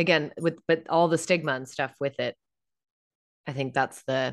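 A woman talks at a moderate pace in a very deep, low pitch with vocal fry. Her pitch varies in an ordinary way over a quiet background. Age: 40s. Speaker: podcast host and on-camera coach. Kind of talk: interview.

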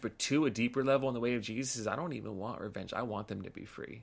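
A man with an American accent talks very fast at a medium pitch. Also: very clean recording, silent background. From Los Angeles, California. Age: 30s. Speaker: pastor and author. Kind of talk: casual interview.

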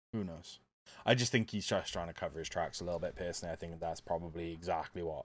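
A man with a Welsh accent and ordinary pitch variation, in a very clean recording with a silent background. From Wales. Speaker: podcast host. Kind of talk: casual chat.

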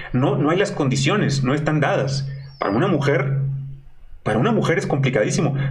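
Speaking with a Mexican accent, a man uses a fairly high pitch with ordinary pitch variation and very even loudness at a fairly quick pace, with long, frequent pauses. Audible room echo and noticeable background noise are present. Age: 40s. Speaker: online show host. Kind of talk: casual interview.

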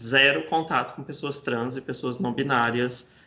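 At a moderate pace, a man with a medium pitch speaks in a bright, sharp tone with ordinary pitch variation. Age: 20s. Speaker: journalist and LGBTI+ nonprofit communications director. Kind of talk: interview.

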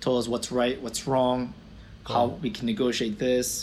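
Here is an ordinary speaking voice from a man of medium pitch. He keeps a moderate pace. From Florida, US (born in Israel). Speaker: optometrist and practice owner. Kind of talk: interview.

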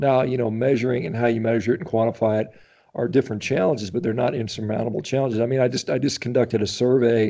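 Delivered at a very fast pace with an American accent, the speech shows ordinary pitch variation. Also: man, medium pitch for a man. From US Midwest (Indiana). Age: 50s. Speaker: physician and athlete. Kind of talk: interview.

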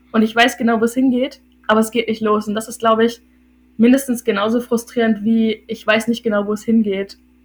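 Speaking at a fairly quick pace, a woman uses a fairly high pitch and a monotone, flat intonation, with a somewhat breathy sound. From northern Germany, Hildesheim (Lower Saxony). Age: 20s. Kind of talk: casual chat.

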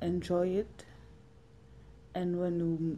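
A woman with a Zulu accent speaks at a very slow pace. Her voice is fairly low in pitch, with a dark, mellow tone. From South Africa, Witbank (Mpumalanga). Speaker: survivor telling her story. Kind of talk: testimony.

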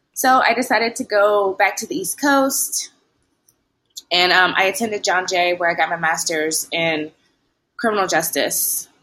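Bright and sharp in tone, a woman with an American accent speaks at a medium pitch with lively intonation. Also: moderate pace. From US South, Tennessee (Lewisburg). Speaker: law student. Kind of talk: interview.

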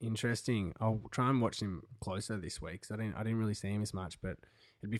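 In an Australian accent, a man with a fairly low voice speaks on a very clean recording with a silent background. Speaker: sports podcast co-host. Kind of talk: casual chat. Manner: animated.

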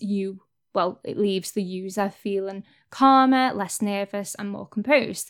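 On a very clean recording with a silent background, a woman with an English accent speaks at a moderate pace and a medium pitch. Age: 20s. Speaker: podcast host. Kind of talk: casual monologue.

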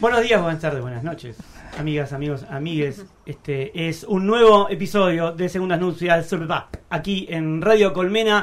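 A man is speaking. His voice is high, with ordinary pitch variation. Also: moderate pace. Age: 40s. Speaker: radio host. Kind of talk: casual radio chat; reading aloud a personal essay. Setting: radio studio.

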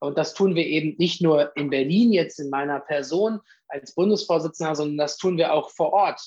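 At a moderate pace, a man with a fairly high pitch and ordinary pitch variation talks in an unremarkable speaking voice. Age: 30s. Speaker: politician, youth organisation leader. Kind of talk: interview.

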